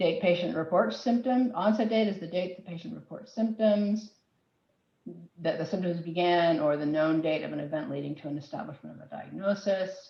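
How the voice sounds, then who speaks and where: Here a woman with a fairly low pitch talks at a fairly quick pace with ordinary pitch variation. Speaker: health IT policy presenter. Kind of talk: webinar presentation. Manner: fast.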